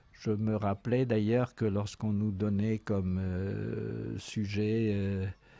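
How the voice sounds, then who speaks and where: A man's dark, mellow voice at a fairly low pitch, monotone and flat, at a very slow pace. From Brittany, France (Daoulas, Brest area). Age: 80s+. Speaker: retired museum association president. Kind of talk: interview, childhood memories. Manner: hesitant, many fillers.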